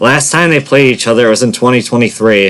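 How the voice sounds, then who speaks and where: Noticeable noise sits in the background. The pitch moves in an ordinary way. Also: man. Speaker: sports predictions youtuber. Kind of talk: casual monologue. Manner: stuttering, self-correcting.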